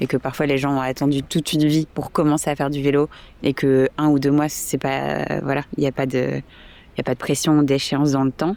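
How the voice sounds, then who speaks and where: A woman's very deep, low voice in a monotone, flat intonation, on a very clean recording with a silent background. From France, Toulouse. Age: 20s. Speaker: volunteer cycling instructor. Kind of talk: interview. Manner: hesitant, many fillers.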